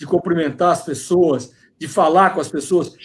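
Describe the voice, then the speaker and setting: A man with a high pitch speaks at a moderate pace. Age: 60s. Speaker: politician. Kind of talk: interview. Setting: video call from home.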